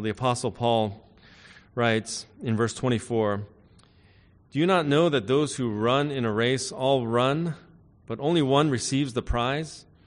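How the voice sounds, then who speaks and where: A man in an unremarkable speaking voice at a fairly slow pace, with ordinary pitch variation and a quiet background. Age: 50s. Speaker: pastor. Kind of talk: sermon. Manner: frequent filler words.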